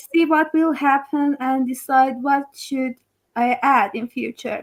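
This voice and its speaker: A woman with a non-native accent, high in pitch, fairly slow, and with fairly even intonation. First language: not English. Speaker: project founder. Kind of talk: interview. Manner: halting.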